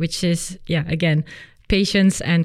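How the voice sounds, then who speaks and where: A woman's medium-pitched voice with a non-native accent, on a very clean recording with a silent background. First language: not English. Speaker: physiotherapist and personal trainer. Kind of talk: interview. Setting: studio.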